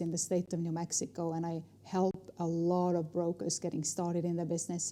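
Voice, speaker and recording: A woman with a fairly low voice and an Estonian accent talks at a fairly quick pace in a dark, mellow tone, her intonation monotone and flat. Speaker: negotiation trainer and speaker. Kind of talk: interview.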